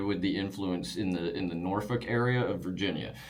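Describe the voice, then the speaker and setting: Over noticeable background noise, a man with an American accent talks at a fairly quick pace with lively intonation. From Wiregrass region of Alabama. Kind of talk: casual explanation of regional accents.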